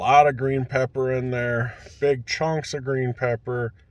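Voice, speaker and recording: At a very slow pace, a man talks in a somewhat breathy voice, the sound dry with no echo. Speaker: food reviewer. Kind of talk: casual vlog chat. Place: car. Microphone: phone near.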